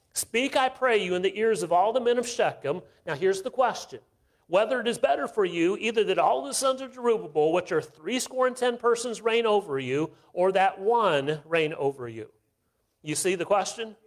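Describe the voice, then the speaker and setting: A man's lively intonation at a moderate pace over a quiet background. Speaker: visiting missionary preacher. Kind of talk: sermon. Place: church.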